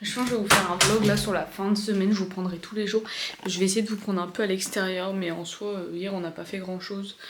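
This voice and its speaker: Noticeable background noise and audible room echo surround a woman's voice. Her intonation stays fairly even. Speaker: vlogger. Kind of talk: casual vlog talk. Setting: at home. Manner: hesitant, many fillers; soft-spoken.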